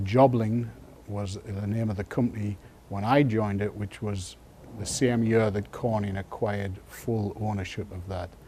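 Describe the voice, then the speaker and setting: In an English accent, a man speaks at a moderate pace with a fairly low pitch, a somewhat breathy, dark, mellow tone and monotone, flat intonation. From northeast England, Sunderland. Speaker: retired glass industry engineer. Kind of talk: oral history interview. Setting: museum library. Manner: hesitant, many fillers.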